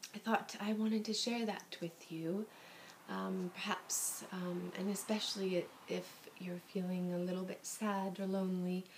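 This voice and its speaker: A soft-spoken woman's gentle, medium-pitched voice, fairly slow and monotone. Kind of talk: soft-spoken ASMR book reading. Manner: soft-spoken, gentle.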